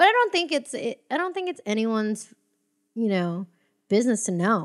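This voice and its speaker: With an American accent, a woman speaks at a moderate pace and fairly high pitch, her voice making very wide pitch swings in a very clean recording with a silent background. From US, Filipino family. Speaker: stand-up comedian. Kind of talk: casual chat.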